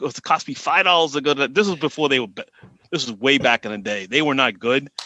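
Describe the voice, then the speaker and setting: A man talks very fast in a strong Boston accent, his pitch fairly high and his tone bright and sharp, with lively intonation. The sound is dry and close with no echo, over a quiet background. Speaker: salary cap analyst on Twitter. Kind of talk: casual podcast chat.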